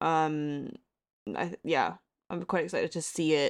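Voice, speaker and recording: A woman's fairly low voice with an American accent, in a dry, close sound with no echo. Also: very clean recording, silent background. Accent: American-sounding. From Hong Kong. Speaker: independent journalist. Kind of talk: casual chat.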